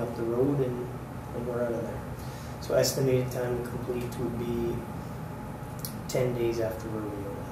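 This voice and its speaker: A moderate pace amid noticeable background noise and audible room echo. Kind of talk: meeting report answering questions. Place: meeting room. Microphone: podium.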